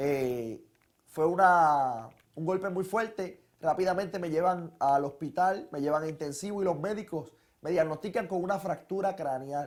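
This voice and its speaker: On a very clean recording with a silent background, a man with a Puerto Rican accent speaks at a high pitch and fairly slow pace, with ordinary pitch variation. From Puerto Rico. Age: 20s. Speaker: testimony speaker, young preacher. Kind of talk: testimony.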